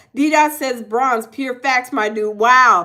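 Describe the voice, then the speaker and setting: A woman with a high pitch and a bright, sharp tone uses a raised, projected voice at a fairly slow pace. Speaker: livestream host. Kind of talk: casual chat. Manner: stuttering.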